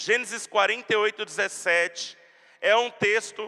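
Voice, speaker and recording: A man projects a raised voice at a high pitch, with a bright, sharp tone and fairly even intonation. His pace is very slow, and the sound is dry and close with no echo. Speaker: pastor. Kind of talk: sermon.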